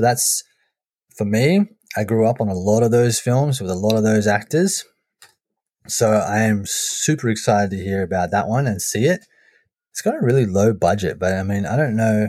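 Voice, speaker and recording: A dark, mellow tone comes at a moderate pace with long, frequent pauses on a very clean recording with a silent background. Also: man, ordinary pitch variation. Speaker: podcast host. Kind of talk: casual banter podcast. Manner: animated.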